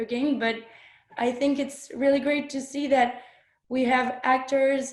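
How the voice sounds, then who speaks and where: A woman's high-pitched voice in a French accent, monotone and flat, with audible room echo. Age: 20s. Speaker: filmmaker and actress. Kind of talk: panel discussion. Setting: webinar video call. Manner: halting.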